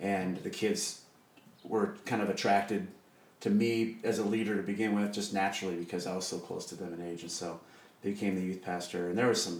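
A man with a Midwestern US accent speaks at a fairly quick pace and fairly low pitch in a monotone, flat intonation, with audible room echo. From Iowa, Des Moines. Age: 40s. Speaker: church worship leader. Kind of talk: casual chat. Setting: home kitchen.

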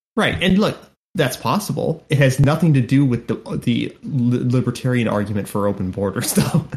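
A somewhat breathy voice with very wide pitch swings. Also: man, medium pitch for a man, moderate pace. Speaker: podcast host. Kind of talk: casual chat.

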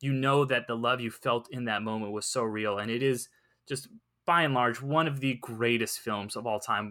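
A man with an American accent speaks in a bright, sharp tone at a moderate pace. His intonation is fairly even, and the recording is very clean with a silent background. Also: medium pitch for a man. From Southern California. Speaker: freelance entertainment writer and podcaster. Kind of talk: casual chat. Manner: hesitant, many fillers.

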